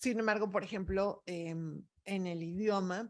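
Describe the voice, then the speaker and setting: A woman with a Mexican accent speaks with fairly even intonation. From Mexico. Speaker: expert on migrant families. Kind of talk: talk answering audience questions.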